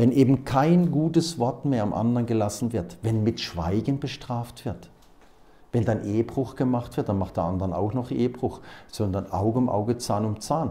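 At a moderate pace, a man with a medium pitch and a dark, mellow tone speaks with ordinary pitch variation.

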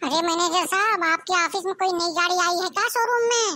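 This is a cartoonish character voice at an extremely high pitch. It moves along at a fairly quick pace. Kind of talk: comedy skit dialogue.

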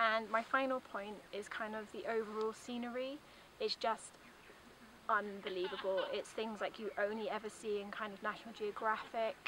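Over noticeable background noise, a woman talks at a moderate pace in a flat monotone, with a dry sound and no echo. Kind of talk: testimonial talk to camera. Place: open country.

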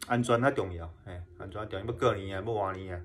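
A man talks with ordinary pitch variation. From Kinmen, Taiwan; Taiwan. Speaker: YouTuber exploring wartime sites. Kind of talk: casual vlog talk. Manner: halting, many fillers and repetitions. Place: home room. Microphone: phone near.

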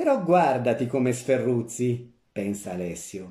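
Speaking at a very slow pace, a man uses lively intonation and a dark, mellow, somewhat breathy voice with a theatrical, playful tone. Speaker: actor reading a short story aloud. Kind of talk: dramatic narration, story read aloud with character voices. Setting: audio recording of a story reading. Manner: expressive, theatrical, shifting between narrator and the grandmother's old-woman voice; comic timing, playful and mischievous in the humorous lines.

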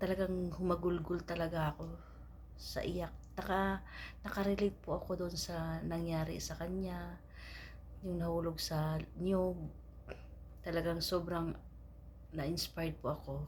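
A woman at a fairly slow pace with long, frequent pauses and audible room echo. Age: 40s. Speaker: vlogger seeking her father. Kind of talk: personal appeal message. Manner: halting.

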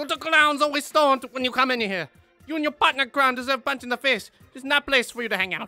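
A gruff, put-on character voice races along at a very fast pace over faint music in the background. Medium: cartoon. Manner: gruff, scolding.

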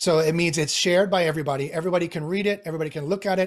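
Against a quiet background, a man with a high-pitched voice talks very fast, his pitch varying in an ordinary way. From Canadian Prairies (Winnipeg). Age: 40s. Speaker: AI expert; podcast guest, tech commentator. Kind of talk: interview. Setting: video call. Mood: critical of big tech. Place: home room. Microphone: video call.

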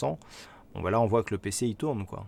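A man's fairly low voice, dry with no echo. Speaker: trader and live-stream host; live-stream host. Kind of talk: live trading stream with chat. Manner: halting, many fillers and repetitions. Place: home room.

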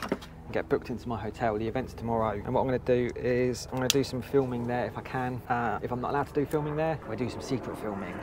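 Over noticeable background noise, a man speaks at a very fast pace with hardly any pauses in a dry sound with no echo. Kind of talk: casual vlog chat. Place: street. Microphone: lapel.

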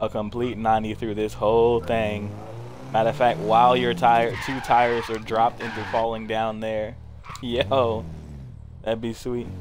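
A man speaks in a monotone, flat voice over noticeable background noise. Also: fairly slow pace. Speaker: gaming streamer. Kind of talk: casual gaming chat. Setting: online voice party chat. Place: home room.

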